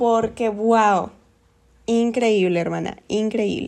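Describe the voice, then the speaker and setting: At a very slow pace, a woman speaks in a fairly high pitch. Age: 20s. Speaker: podcast host. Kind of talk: casual monologue. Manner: animated.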